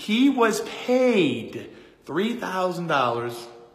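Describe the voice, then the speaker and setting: Over noticeable background noise and audible room echo, a man's voice moves through very wide pitch swings. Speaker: real estate investor and coach. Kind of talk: casual vlog talk to camera. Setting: indoors in a rental unit. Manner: conversational, with many fillers.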